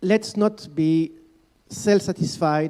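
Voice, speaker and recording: A man's dark, mellow voice with a French accent. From France. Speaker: panel expert, children's rights organization staff. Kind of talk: panel discussion. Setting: conference panel. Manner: hesitant, many fillers.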